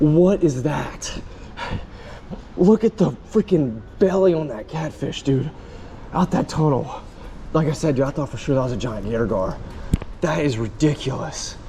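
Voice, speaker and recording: A man's fairly high voice with lively intonation and long, frequent pauses, over noticeable background noise. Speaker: fishing youtuber. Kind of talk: casual vlog narration. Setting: outdoors by canal. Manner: animated, excited exclamations; slow, stiff from cold.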